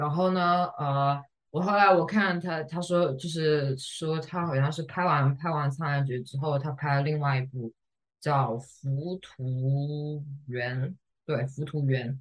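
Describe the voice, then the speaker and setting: Very slow and somewhat breathy, a woman speaks with a very deep, low pitch and ordinary pitch variation. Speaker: podcast co-host. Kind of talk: casual chat.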